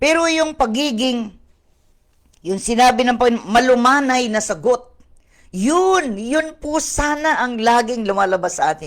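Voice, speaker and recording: Speaking at a fairly slow pace, a woman with a fairly high pitch makes very wide pitch swings. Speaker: pastor. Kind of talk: online Bible study sermon. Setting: online video stream. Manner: code-switching Tagalog and English.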